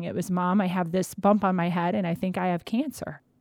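Over a silent background on a very clean recording, a woman uses an ordinary speaking voice at a medium pitch, talking at a fairly quick pace with fairly even intonation. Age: 40s. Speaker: cancer survivor and patient advocate. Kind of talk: interview testimony.

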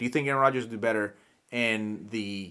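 Speaking very fast, a man uses a medium pitch with ordinary pitch variation. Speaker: podcast host. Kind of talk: casual banter. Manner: joking, profane.

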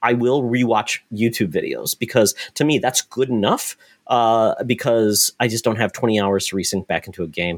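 At a moderate pace with hardly any pauses, a man speaks at a medium pitch with ordinary pitch variation in an unremarkable speaking voice. The very clean recording is dry and close with no echo over a silent background. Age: 40s. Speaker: video game podcast host. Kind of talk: casual chat.

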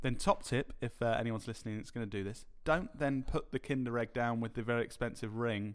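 With hardly any pauses, a man rushes along at a very fast pace, his medium pitch showing ordinary variation. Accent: British. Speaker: podcast co-host. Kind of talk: casual chat. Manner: laughs often.

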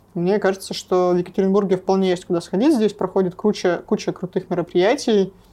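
A woman speaks very fast in a dark, mellow tone with fairly even intonation over a quiet background. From Russia, Sverdlovsk region (Nevyansk). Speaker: music festival director. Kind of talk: casual interview.

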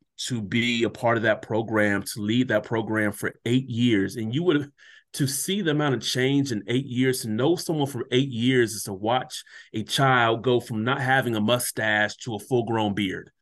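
Against a quiet background, a man talks at a moderate pace. His pitch is medium, with ordinary variation. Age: 30s. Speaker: educator and motivational speaker. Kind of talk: casual chat. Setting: video call.

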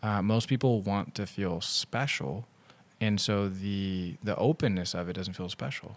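This man has a plain, everyday voice, fairly low in pitch with ordinary variation. He talks at a fairly slow pace in a very clean recording with a silent background. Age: 30s. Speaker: podcast host. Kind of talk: casual chat. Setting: in-person studio.

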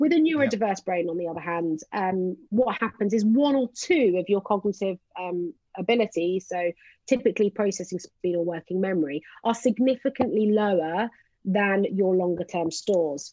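At a moderate pace, a woman with a normal speaking voice talks at a medium pitch, using lively intonation. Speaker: psychologist. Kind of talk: casual chat.

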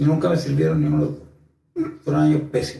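Somewhat breathy and dark, mellow in tone, a man's fairly high voice moves at a fairly quick pace with audible room echo. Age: 30s. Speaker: YouTuber sharing personal experiences. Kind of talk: personal monologue video.

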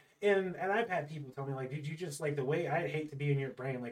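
Over noticeable background noise, a man with an American accent speaks very fast at a fairly high pitch with ordinary pitch variation. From California. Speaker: podcast host. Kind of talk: casual chat.

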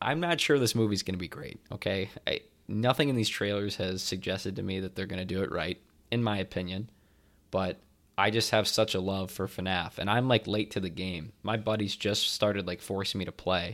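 A man talks in a plain, everyday voice, fairly low-pitched with ordinary pitch variation. His pace is fairly quick on a very clean recording with a silent background. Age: 20s. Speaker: movie podcast co-host. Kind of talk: casual chat.

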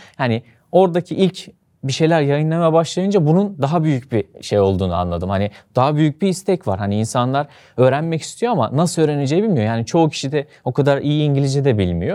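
A man speaks at a fairly quick pace in a fairly high pitch, his dark, mellow tone sweeping through very wide pitch swings. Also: very clean recording, silent background. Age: 20s. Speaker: e-commerce entrepreneur and online course instructor. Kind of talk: interview conversation.

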